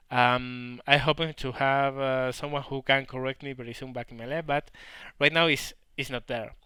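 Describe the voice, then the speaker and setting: On a very clean recording with a silent background, a man with a strong Spanish accent speaks in a bright, sharp tone with monotone, flat intonation. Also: medium pitch for a man, moderate pace, big swings in loudness. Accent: heavy Spanish. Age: 30s. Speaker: gaming YouTuber. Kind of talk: Q&A commentary. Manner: halting.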